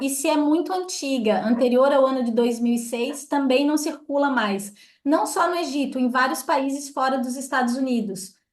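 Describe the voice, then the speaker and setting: A woman speaks in a high voice at a moderate pace. Room echo is audible. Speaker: tour group leader. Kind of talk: briefing for travel group.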